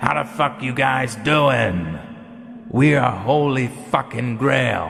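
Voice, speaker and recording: A man shouting in a put-on character voice, medium in pitch, at a fairly slow pace. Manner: screaming.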